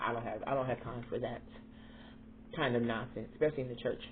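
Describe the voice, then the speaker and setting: There is audible room echo as a woman speaks in an animated tone. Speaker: vlogger. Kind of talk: casual chat.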